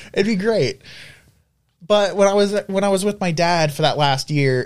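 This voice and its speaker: A man with a Southern US accent, at a moderate pace. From US South. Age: 20s. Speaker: college student. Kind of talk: casual chat. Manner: halting.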